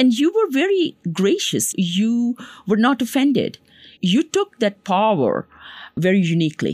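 A woman's somewhat breathy, fairly high voice with very wide pitch swings, a fairly slow pace and very even loudness, in a very clean, dry, close recording with a silent background and no echo. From Pakistan. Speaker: physician and public health professor. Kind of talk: interview.

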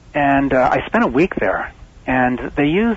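Noticeable background noise runs under a man's medium-pitched voice. He talks fairly slowly with ordinary pitch variation. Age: 60s. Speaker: magnetic field therapy advocate. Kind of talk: interview. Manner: halting.

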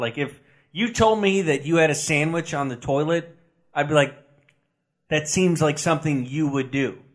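A man speaks at a moderate pace with a fairly high pitch. The recording is very clean, with a silent background. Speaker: sports podcast co-host. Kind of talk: casual chat. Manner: flat, deadpan.

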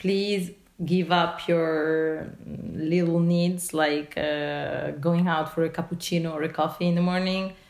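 Speaking very slowly with an Italian accent, a woman keeps her fairly low voice in fairly even intonation. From Italy. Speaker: journalist. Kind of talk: interview. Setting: phone call. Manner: halting.

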